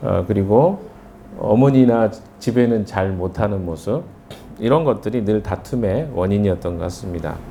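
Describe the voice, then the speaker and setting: A man speaks at a very slow pace. Audible room echo and noticeable background noise fill the recording. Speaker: pastor. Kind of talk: sermon. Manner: conversational, hesitant fillers.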